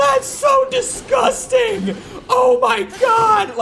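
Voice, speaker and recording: In a put-on character voice, someone shouts loudly and very slowly over clear background noise. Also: man, extremely high pitch for a man. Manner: screaming, disgusted.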